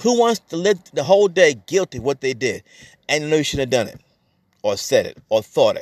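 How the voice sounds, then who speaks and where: A man's high voice with very wide pitch swings. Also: dry, close sound with no echo. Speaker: pastor. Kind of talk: sermon. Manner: talks fast at times; preacher's exhortative delivery.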